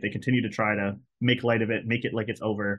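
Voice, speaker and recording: Against a quiet background, a man speaks at a very fast pace, medium pitch and fairly even intonation. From Hawaii. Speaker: speaker. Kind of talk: webinar talk. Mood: earnest, critical. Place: home room. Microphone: webcam.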